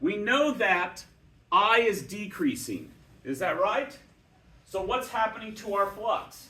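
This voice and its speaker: A man speaks in a raised, projected voice at a high pitch, with lively intonation and audible room echo. His pace is very slow, with long, frequent pauses. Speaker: physics teacher. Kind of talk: lecture.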